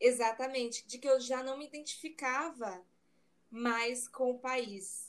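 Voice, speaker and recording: A woman's high voice, very slow, with fairly even intonation and big swings in loudness. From Brazil. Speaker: digital marketing consultant. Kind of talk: casual interview chat.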